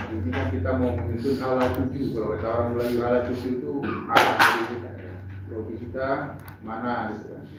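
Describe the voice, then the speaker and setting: Over noticeable background noise and audible room echo, a man speaks at a moderate pace in a medium pitch with lively intonation. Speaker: workshop facilitator. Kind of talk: workshop opening speech. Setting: workshop hall with audience, no microphone. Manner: formal, with hesitations.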